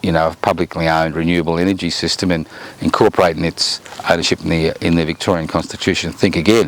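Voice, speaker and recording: Noticeable background noise runs under a man with an Australian accent. He speaks at a very fast pace in a very deep, low voice. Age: 70s. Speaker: political commentator. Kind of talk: monologue commentary.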